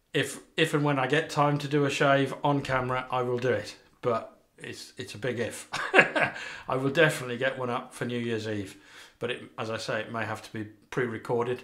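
The background stays quiet. A man's voice moves at a moderate pace, his intonation fairly even. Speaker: shaving video host. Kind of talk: casual vlog chat. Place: bathroom. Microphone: camera far.

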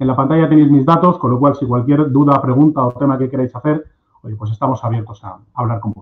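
A man in an ordinary speaking voice talks at a fairly quick pace and medium pitch, with ordinary pitch variation, big swings in loudness and a quiet background. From Spain, Cuenca (La Mancha). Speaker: agricultural machinery marketing manager. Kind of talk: webinar presentation. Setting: video call. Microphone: video call.

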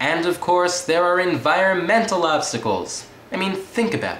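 The man here talks at a moderate pace. Audible room echo and light background noise come through. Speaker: comedic reviewer. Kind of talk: comedic monologue review. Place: home room. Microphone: webcam.

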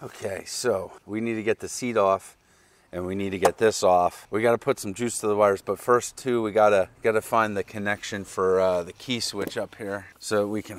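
Monotone, flat intonation marks this man's fairly low-pitched voice. He keeps a moderate pace, and the sound is dry with no echo. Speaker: motorcycle mechanic host. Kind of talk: casual vlog chat. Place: garden. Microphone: lapel.

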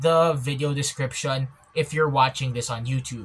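Speaking at a moderate pace, a man has a bright, sharp tone and ordinary pitch variation. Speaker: vlogger. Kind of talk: casual vlog commentary. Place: home room. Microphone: phone near.

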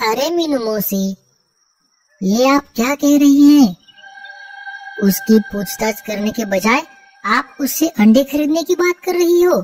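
A cartoonish character voice, female-sounding and high in pitch, moves at a moderate pace with long, frequent pauses. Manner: snappy, dismissive.

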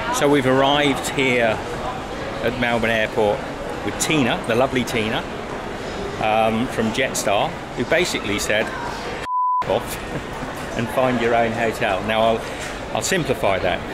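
Speaking at a fairly slow pace with long, frequent pauses, a man shows ordinary pitch variation over loud background noise. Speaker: travel vlogger. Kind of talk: casual vlog chat. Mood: frustrated, indignant. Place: station. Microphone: phone near.

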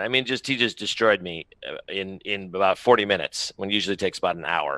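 A man talks at a moderate pace in a fairly low pitch with a bright, sharp tone. The sound is dry, with no echo. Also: quiet background. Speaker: remote guest. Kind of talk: interview answer. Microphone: headset.

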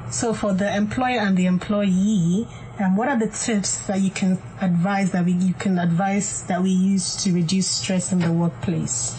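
At a moderate pace and very even loudness, a woman speaks over light background noise. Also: ordinary pitch variation. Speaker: clinical psychologist. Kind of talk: radio talk show. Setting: studio. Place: studio.

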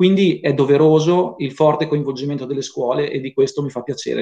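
Fairly quick delivery from a man, with quiet all around. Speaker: council vice president. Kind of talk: formal ceremony chairing. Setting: video call. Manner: formal. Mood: solemn, earnest. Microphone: video call.

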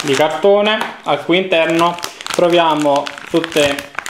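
Amid audible room echo and light background noise, a man speaks at a fairly slow pace with fairly even intonation. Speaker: hardware reviewer. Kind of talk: product unboxing commentary. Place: home room. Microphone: phone near.

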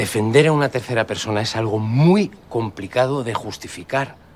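A man talks at a moderate pace, his pitch varying in an ordinary way, with light background noise behind him. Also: big swings in loudness. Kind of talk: acted drama dialogue. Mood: earnest, explaining. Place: street.

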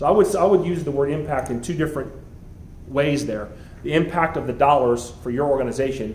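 A man with an American accent talks at a very fast pace in a somewhat breathy voice. Audible room echo and light background noise are present. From US South, Miami, Florida; Florida. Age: 40s. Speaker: school head; guest. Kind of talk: motivational talk. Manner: halting. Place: meeting room. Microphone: handheld.

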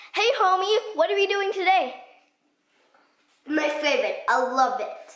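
A woman's extremely high voice makes very wide pitch swings. Audible room echo surrounds it over a quiet background. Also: moderate pace. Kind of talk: casual comedic banter to camera. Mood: playful. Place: home room. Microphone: phone near.

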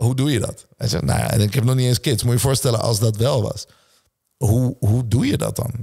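A man talks at a medium pitch with a dark, mellow tone and a somewhat breathy quality. His intonation stays fairly even over a quiet background. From Netherlands, Nieuwegein/Utrecht area; Netherlands. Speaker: entrepreneur and speaker; speaker. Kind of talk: casual interview chat. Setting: gym. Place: home room. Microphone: studio mic.

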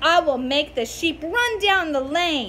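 Putting on a character voice, a woman speaks slowly at a high pitch with a bright, sharp tone and lively intonation as faint background noise sits underneath.

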